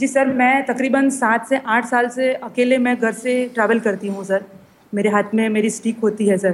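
A woman with an unremarkable speaking voice, fairly high in pitch, with fairly even intonation. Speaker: blind guest. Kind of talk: radio interview. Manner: formal, polite.

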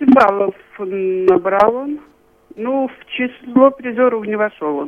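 Her fairly high voice has lively intonation, and the woman's loudness rises and falls in big swings. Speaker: local group organizer. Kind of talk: radio interview.

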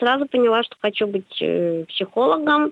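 A woman at a fairly high pitch, very wide pitch swings and a very slow pace. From St Petersburg, Russia. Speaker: psychologist and university lecturer. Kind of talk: radio interview. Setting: phone call.

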